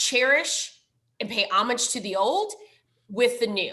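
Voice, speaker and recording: The voice carries a strong Minnesotan accent and a bright, sharp tone. Its pitch variation is ordinary. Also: woman. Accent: thick Minnesotan. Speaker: library foundation director. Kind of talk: presentation.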